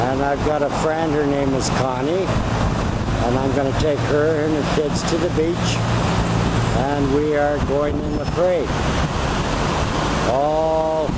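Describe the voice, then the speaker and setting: The speech moves at a very slow pace with long, frequent pauses. Loud background noise runs underneath. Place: waterside. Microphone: old recording.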